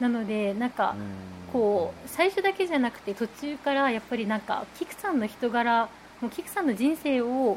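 Lively intonation in a woman's high-pitched voice, moderately paced. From Japan, Nagasaki. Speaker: newspaper reporter. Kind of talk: casual chat.

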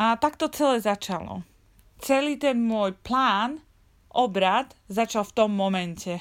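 A woman speaks at a fairly slow pace in an ordinary speaking voice, with fairly high pitch, lively intonation and big swings in loudness, on a very clean recording with a silent background. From Slovakia. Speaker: travel podcaster. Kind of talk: personal storytelling monologue.

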